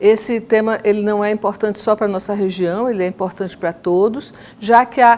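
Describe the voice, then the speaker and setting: Here is a woman with a normal speaking voice. Her pitch is fairly high, her intonation fairly even, and her pace moderate. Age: 60s. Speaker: podcast moderator, architecture professor. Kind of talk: podcast conversation. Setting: university.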